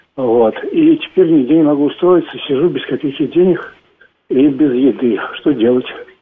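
At a moderate pace, a man speaks in an ordinary speaking voice, fairly high in pitch with ordinary pitch variation. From Moscow, Russia. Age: 50s. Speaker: caller, unemployed projectionist. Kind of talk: call-in question.

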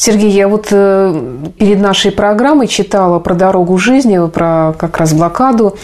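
A woman speaks at a fairly slow pace with a medium pitch and ordinary pitch variation. It is an unremarkable speaking voice. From Saint Petersburg, Russia. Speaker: radio presenter. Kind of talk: radio presenting. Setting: radio studio.

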